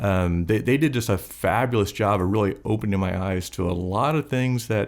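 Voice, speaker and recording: A man with an ordinary speaking voice talks at a moderate pace, his fairly low pitch showing ordinary variation and his loudness very even, in a very clean recording with a silent background. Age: 60s. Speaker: business owner. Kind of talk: interview conversation.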